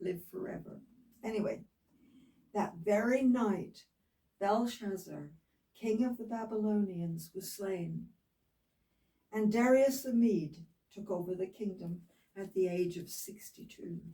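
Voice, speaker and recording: A woman speaks very slowly, with long, frequent pauses and big swings in loudness. Her tone is dark and mellow and somewhat breathy. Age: 80s+. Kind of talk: Bible reading aloud with casual asides.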